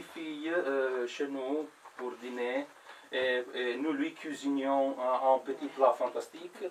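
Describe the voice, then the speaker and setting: A man with an Italian accent speaks very slowly at a fairly high pitch, his intonation fairly even, over noticeable background noise. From Italy. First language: Italian (speaking French). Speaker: comedian. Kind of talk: stand-up. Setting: stage with audience. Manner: halting, many hesitations and repeats.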